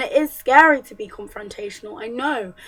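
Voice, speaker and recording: Music plays in the background as a woman with a high pitch speaks at a moderate pace. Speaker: feminist vlogger. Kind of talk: casual talk to camera.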